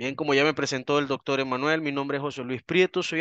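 A man is speaking over a quiet background. The sound is dry, with no echo. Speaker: anthropologist and criminalist lecturer; criminalist lecturer. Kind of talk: online seminar lecture. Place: home room.

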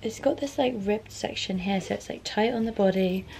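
Light background noise lies under speech delivered at a fairly quick pace. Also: woman. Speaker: fashion vlogger. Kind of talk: casual vlog chat. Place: home room. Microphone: camera far.

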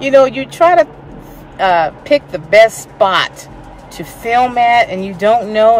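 Lively intonation over light background noise, in a dry sound with no echo. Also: woman. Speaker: vlogger. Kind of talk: casual vlog chat. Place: car. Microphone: phone near.

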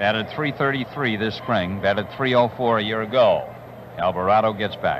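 A man speaks at a moderate pace while noticeable background noise is present. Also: dry sound with no echo. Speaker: play-by-play announcer. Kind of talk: sports commentary. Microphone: old recording.

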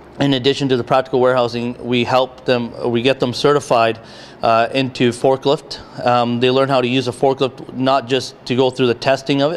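A man's fairly quick speech in a monotone, flat intonation. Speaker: training program instructor. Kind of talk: interview answer. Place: factory. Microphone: handheld.

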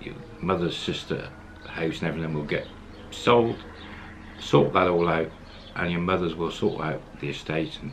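Light background noise sits under the voice. The intonation stays fairly even at a moderate pace. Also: man. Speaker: storyteller. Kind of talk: casual storytelling to camera.

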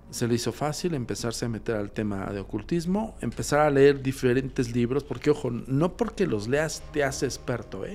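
Over faint background music, a man speaks at medium pitch and a moderate pace with ordinary pitch variation. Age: 40s. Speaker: paranormal investigator; guest. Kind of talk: casual chat. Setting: studio. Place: studio. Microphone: studio mic.

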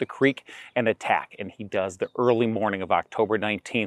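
In a normal speaking voice, a man talks at a moderate pace and fairly low pitch, with a dry sound free of echo and a quiet background. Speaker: presenter. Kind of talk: tutorial. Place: open country. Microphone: lapel.

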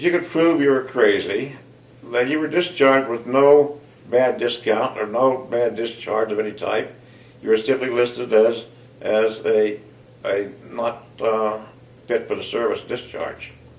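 With audible room echo around him, a man with an American accent talks at a fairly slow pace, using ordinary pitch variation. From southeastern Ohio, US. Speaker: army veteran and retiree. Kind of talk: personal interview, self-profile. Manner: jovial, hesitant with filler words. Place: home room.

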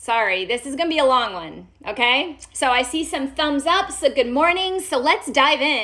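Raised and projected, the voice has a bright, sharp tone and lively intonation at a moderate pace against a quiet background. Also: woman. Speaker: doctor hosting a health live stream. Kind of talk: live stream health talk. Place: home room.

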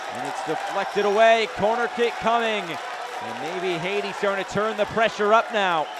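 Crowd noise fills the background behind a man. His voice is high-pitched and his intonation fairly even. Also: moderate pace. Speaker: match commentator. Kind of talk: live sports commentary, play-by-play. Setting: stadium, commentating at the match.

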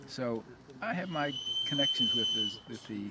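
Against loud background noise, a man's voice comes through dry, with no echo. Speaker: interviewee, Zamoyski family descendant and genealogy researcher. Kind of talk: casual interview. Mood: warm, reflective. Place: garden.

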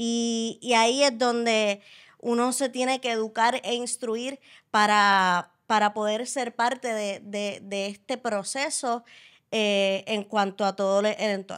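A woman talks at a very slow pace with fairly high pitch. Her intonation is fairly even, and the background is quiet. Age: 20s. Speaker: wheelchair user and interviewer; podcast guest. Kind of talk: casual interview. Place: studio. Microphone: studio mic.

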